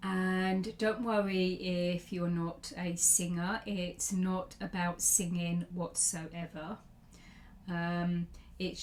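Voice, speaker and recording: At a very slow pace, a woman with a fairly low pitch speaks in a calm tone, somewhat breathy, with monotone, flat intonation. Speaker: yoga teacher. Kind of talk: guided practice. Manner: slow, calm.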